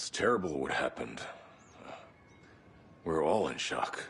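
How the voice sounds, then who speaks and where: A man speaks at a moderate pace in a put-on character voice pitched very deep and low. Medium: video game. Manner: blunt, laid-back.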